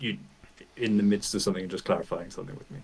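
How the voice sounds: A man talks at a very fast pace in a low pitch. His voice has a slightly husky edge and ordinary pitch variation.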